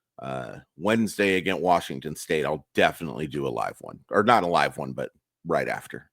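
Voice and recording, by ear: An extremely low-pitched, raspy male voice with vocal fry, a fairly bright tone, big pitch swings and a fairly quick pace. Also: very clean recording, silent background.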